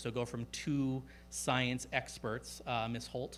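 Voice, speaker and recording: A man's voice with vocal fry and fairly even intonation, in a very clean recording with a silent background. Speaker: school district superintendent. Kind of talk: public meeting presentation. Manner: fast; many filler words.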